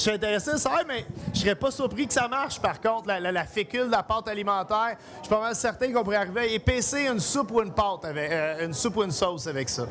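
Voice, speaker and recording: A loud, high-pitched male voice at a very fast pace, with lively intonation and noticeable background noise. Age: 40s. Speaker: chef. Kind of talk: cooking demonstration. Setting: live event with audience.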